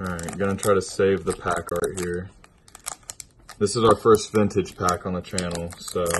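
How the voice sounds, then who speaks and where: The speech is monotone, with flat intonation, at a moderate pace. Light background noise sits underneath. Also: man, very deep, low pitch for a man. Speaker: gaming YouTuber. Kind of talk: pack opening video. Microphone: phone near.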